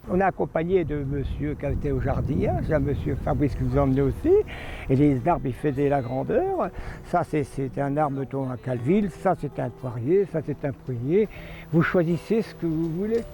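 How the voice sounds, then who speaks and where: Noticeable background noise surrounds the recording. A man speaks at a moderate pace. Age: 70s. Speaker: care home resident. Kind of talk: documentary interview.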